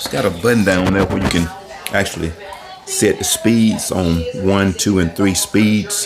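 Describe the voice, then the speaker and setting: Music in the background under a man's fairly low voice, fairly even in intonation and fairly slow in pace. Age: 60s. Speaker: homeowner vlogger. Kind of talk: tutorial. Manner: casual, conversational.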